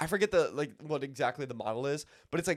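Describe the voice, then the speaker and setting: The man's tone is animated. He speaks at a fairly quick pace. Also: dry, close sound with no echo, very clean recording, silent background. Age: 20s. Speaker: podcast co-host. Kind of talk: casual chat. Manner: halting.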